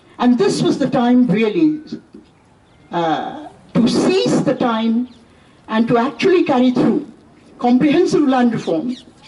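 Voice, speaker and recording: Amid noticeable background noise, a woman with a high pitch uses lively intonation and very even loudness, leaving long, frequent pauses. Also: fairly slow pace. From India. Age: 70s. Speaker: professor. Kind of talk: lecture.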